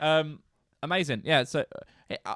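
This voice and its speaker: A man with a British accent speaks at a moderate pace. The recording is very clean and dry, close with no echo and a silent background. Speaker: music podcast co-host. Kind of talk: casual chat.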